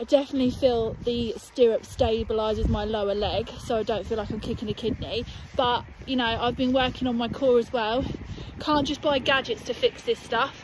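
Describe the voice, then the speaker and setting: A woman's high voice with fairly even intonation, dry with no echo, against noticeable background noise. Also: moderate pace. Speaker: equestrian vlogger. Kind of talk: casual vlog chat. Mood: cheerful, chatty. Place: open country. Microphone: phone near.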